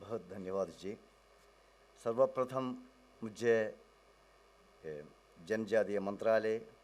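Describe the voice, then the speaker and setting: With long, frequent pauses, a man speaks at a fairly low pitch with ordinary pitch variation. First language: Malayalam (speaking Hindi). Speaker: professor, academic researcher. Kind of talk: conference talk. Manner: halting, code-switching Hindi and English.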